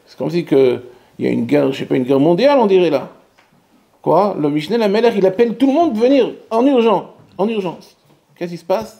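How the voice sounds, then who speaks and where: A man with a high pitch speaks very fast, with very wide pitch swings and long, frequent pauses. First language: Hebrew (speaking French). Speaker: rabbi. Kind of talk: Torah lecture. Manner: halting; animated.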